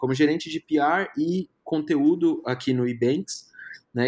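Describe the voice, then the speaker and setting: This man has a plain, everyday voice, fairly high in pitch, with lively intonation. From Brazil, Brasília. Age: 30s. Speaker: film critic and journalist. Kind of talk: casual interview.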